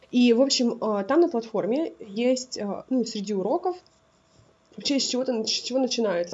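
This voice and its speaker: At a high pitch and with lively intonation, a woman speaks at a moderate pace. She takes long, frequent pauses, with noticeable background noise behind her. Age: 20s. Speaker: podcast co-host. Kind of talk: casual chat.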